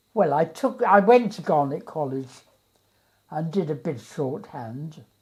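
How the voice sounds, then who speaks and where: In a dark, mellow tone, a woman speaks at a fairly slow pace, somewhat breathy, with very wide pitch swings. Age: 80s+. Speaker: retired teacher. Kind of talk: interview answer.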